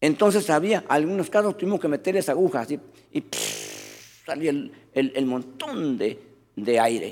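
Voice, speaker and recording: With vocal fry and lively intonation, a man speaks at a fairly slow pace and a fairly high pitch. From rural Latin America. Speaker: pastor. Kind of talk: sermon.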